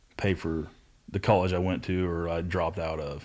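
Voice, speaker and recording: Speaking at a moderate pace with an American accent, a man with a very deep, low pitch comes through on a very clean recording with a silent background. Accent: hillbilly. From Southeast Ohio. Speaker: tradesman in addiction recovery. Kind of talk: casual chat.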